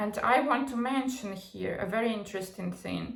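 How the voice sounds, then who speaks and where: Audible room echo colors this recording. The speaker is a woman. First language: not English. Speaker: psychology and pop culture commentator. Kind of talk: casual commentary monologue. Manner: halting, many fillers and false starts.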